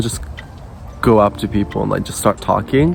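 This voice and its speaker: Against music in the background, a man with an American accent and a fairly low pitch speaks with lively intonation. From Japan. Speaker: YouTuber. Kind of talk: casual vlog talk. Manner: casual, filler-heavy.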